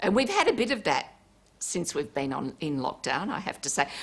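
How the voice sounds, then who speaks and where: A woman's medium-pitched voice with an Australian accent and lively intonation. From Port Kembla, New South Wales, Australia. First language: Italian. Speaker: politician. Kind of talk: TV interview.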